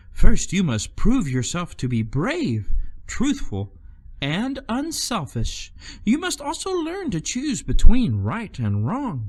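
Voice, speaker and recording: A man in a put-on character voice, high-pitched, at a fairly slow pace. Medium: read story. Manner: soft, gentle.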